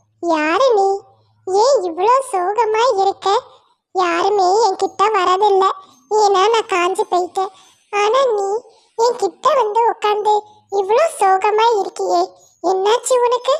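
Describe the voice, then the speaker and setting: This is a cartoonish character voice pitched extremely high. The delivery is very slow. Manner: gentle, warm.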